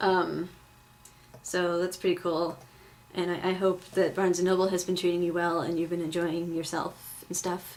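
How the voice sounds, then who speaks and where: Noticeable background noise sits behind a woman speaking. Her intonation is monotone and flat, and her pitch is fairly low. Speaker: vlogger. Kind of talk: casual vlog. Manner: fast; filler-heavy, lots of um and like.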